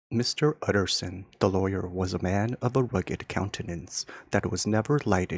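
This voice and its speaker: Soft-spoken and relaxed in tone, a man talks at a fairly slow pace and fairly low pitch in a very clean recording with a silent background, the sound dry and close with no echo. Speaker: ASMR audiobook reader. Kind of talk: soft relaxing audiobook reading, sleep-style. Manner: soft-spoken, relaxed.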